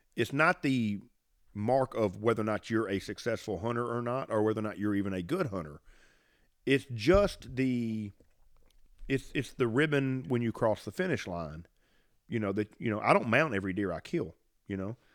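Lively in intonation, a man with a Southern US accent speaks with long, frequent pauses in a very clean recording with a silent background. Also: medium pitch for a man, moderate pace. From US South, Mississippi. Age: 50s. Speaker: podcast host, bowhunter. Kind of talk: casual chat. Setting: home studio with dog barking. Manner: casual, rambling.

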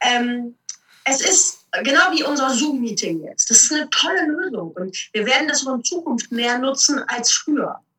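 A woman with a high pitch and lively intonation talks at a fairly slow pace. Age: 40s. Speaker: motivational speaker and trainer. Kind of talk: interview.

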